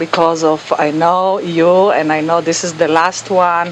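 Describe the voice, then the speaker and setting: Against noticeable background noise, a woman speaks slowly-ish at a fairly low pitch with fairly even intonation. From Israel. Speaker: real estate agent. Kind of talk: casual interview.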